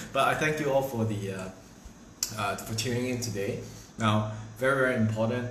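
There is audible room echo as a man speaks. Light background noise sits underneath. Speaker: livestream host. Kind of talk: casual livestream chat. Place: kitchen. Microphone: phone near.

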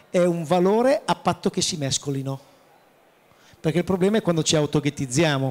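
A man's high voice with ordinary pitch variation. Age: 50s. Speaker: chef, president of professional cooks' association; panelist. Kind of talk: panel discussion at trade fair. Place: hall. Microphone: handheld.

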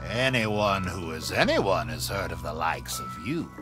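A man puts on a character voice with a very deep, low pitch. He talks at a moderate pace over loud music in the background.

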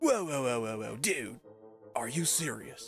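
Over faint background music, a man drawls in a put-on character voice at a medium pitch, with ordinary pitch variation. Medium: fan dub. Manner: laid-back slacker drawl, says dude and bro.

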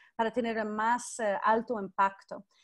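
In a quiet background, a woman speaks at a fairly slow pace. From United States. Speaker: professor leading online class. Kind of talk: live online class lecture. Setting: video call. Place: home room. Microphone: video call.

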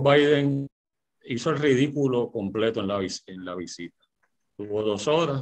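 Against a quiet background, a man speaks at a fairly slow pace with lively intonation. He pauses often, and his pauses are long. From Puerto Rico. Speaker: lawyer and political panelist. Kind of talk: political panel debate on radio. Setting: radio studio broadcast. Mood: critical, argumentative. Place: home room. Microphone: video call.

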